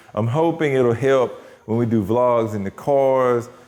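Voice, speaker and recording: A man with a medium-pitched voice talks with audible room echo around him. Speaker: car channel vlogger. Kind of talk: casual vlog. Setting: garage shop. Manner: casual, conversational.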